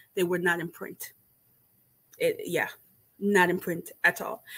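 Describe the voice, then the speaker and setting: The pace is fairly slow. A woman's tone comes across bright and sharp. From Jamaica. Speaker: booktuber hosting book discussion. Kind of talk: casual livestream book chat. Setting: livestream with live chat. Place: home room. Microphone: webcam.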